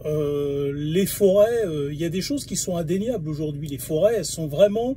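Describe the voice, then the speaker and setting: Over noticeable background noise, a man speaks at a moderate pace. His high-pitched voice carries lively intonation. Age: 40s. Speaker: video blogger. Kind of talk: monologue video response. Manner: halting, many hesitations.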